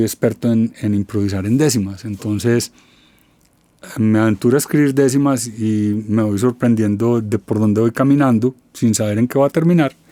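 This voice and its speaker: On a dry, close recording with no echo, a man with an ordinary speaking voice holds a medium pitch and fairly even intonation. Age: 60s. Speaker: musician. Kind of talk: interview.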